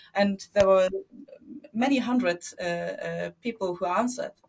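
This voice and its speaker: A woman with a German accent on a very clean recording with a silent background. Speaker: media entrepreneur. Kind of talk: interview. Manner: halting, many fillers.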